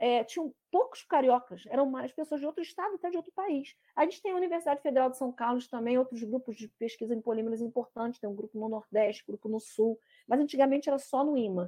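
Over a quiet background, a woman talks very fast with hardly any pauses, her high-pitched voice dark and mellow in tone with lively intonation, in dry, close sound with no echo. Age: 50s. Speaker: polymer science teacher. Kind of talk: interview.

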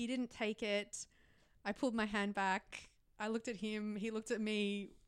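A woman with an Australian accent, fairly high pitch, monotone, flat intonation, very even loudness and a moderate pace. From Australia, Melbourne. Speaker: YouTuber and film reviewer. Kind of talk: casual chat. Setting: hotel room.

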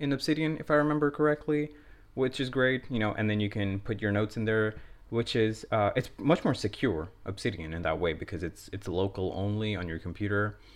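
Lively intonation marks an ordinary speaking voice at a fairly quick pace. The background is quiet. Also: man. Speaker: podcast co-host, medical student. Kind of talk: casual chat.

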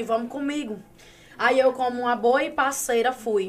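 A moderate pace and ordinary pitch variation, with noticeable background noise. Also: woman. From Paraíba, Brazil. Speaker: social media influencer. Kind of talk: casual chat.

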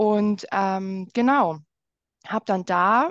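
Over a quiet background, a woman talks at a medium pitch with ordinary pitch variation, the sound dry and close with no echo. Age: 30s. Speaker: wine experience guide. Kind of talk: casual interview.

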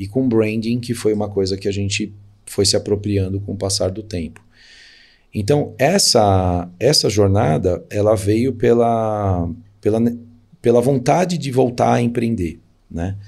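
Speaking at a fairly slow pace, the man has a fairly low pitch and ordinary pitch variation. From São Paulo, Brazil (east zone). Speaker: entrepreneur. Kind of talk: interview.

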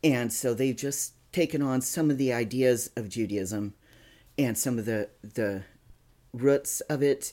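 On a very clean recording with a silent background, a man with an American accent speaks at a fairly slow pace in a dark, mellow tone of medium pitch with ordinary pitch variation. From US Midwest, northeast Indiana. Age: 50s. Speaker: therapist. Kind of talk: interview. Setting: at home.

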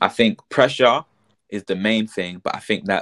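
The sound is dry and close with no echo as a man with a London accent talks at a moderate pace. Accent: Multicultural London English. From London, England. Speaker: mental health practitioner. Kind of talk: casual chat. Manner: articulate.

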